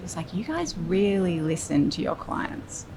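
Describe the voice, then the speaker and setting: Noticeable background noise is heard behind a woman speaking. She keeps a moderate pace with ordinary pitch variation. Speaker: creative director and design studio founder. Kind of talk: interview answer. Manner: soft-spoken.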